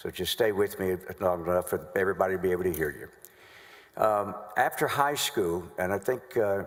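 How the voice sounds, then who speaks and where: This man has a very deep, low pitch and a Southern US accent. He talks at a moderate pace. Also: ordinary pitch variation. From North Carolina. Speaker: trial lawyer. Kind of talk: courtroom examination. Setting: legislative chamber courtroom. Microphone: acoustic issues in room.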